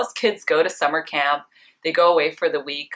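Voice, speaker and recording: With a Canadian accent, a woman speaks in a bright, sharp tone at a fairly low pitch, her intonation lively. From Vancouver, Canada. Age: 20s. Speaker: beauty blogger. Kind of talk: casual personal facts vlog.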